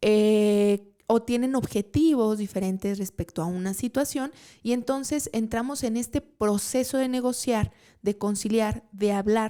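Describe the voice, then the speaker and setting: Speaking at a fairly slow pace, a woman uses a fairly high pitch and a dark, mellow tone. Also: ordinary pitch variation. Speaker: podcast host and trade consultant. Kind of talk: live talk show monologue. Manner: casual, with frequent fillers.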